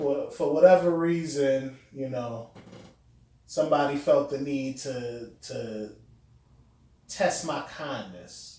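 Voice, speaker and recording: Audible room echo surrounds a man whose speech has ordinary pitch variation. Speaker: podcast guest. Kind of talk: casual chat. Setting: room with echo.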